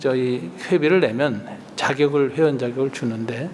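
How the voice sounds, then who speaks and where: A man's voice with ordinary pitch variation, noticeable background noise and audible room echo. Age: 60s. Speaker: retired pastor. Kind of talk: lecture. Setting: retreat with audience.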